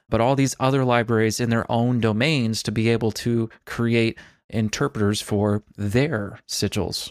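Recorded very cleanly against a silent background, a man with an unremarkable speaking voice talks fairly slowly at a medium pitch, with fairly even intonation, very even loudness, and a dry, close sound with no echo. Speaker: podcast co-host. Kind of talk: casual tech chat.

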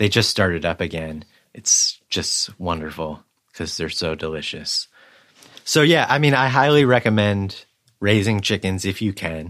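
Lively intonation runs through a man's unremarkable speaking voice, fairly low in pitch and at a moderate pace. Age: 40s. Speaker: photographer. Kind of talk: casual chat.

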